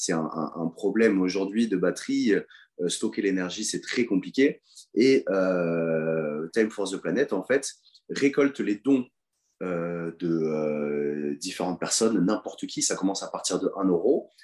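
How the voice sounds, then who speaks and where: A man speaks with a very deep, low voice. His pace is fairly slow and his intonation lively. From France, Toulouse. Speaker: professional rugby player. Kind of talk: interview. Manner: halting, with many repetitions.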